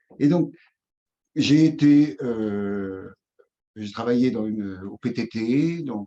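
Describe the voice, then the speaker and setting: A man's voice with a dark, mellow tone. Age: 60s. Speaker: somatotherapist and former trade union leader. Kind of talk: interview. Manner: halting.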